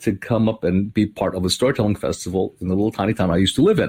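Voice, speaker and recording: This man's voice is somewhat breathy. He talks very fast. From Hawaii. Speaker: storyteller. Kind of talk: interview conversation. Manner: conversational with many fillers.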